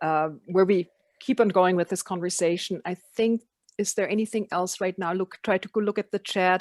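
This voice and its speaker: The speaker keeps a moderate pace and fairly even intonation. The background is quiet. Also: woman, medium pitch for a woman. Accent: non-native. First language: not English. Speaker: education program facilitator. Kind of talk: online meeting discussion.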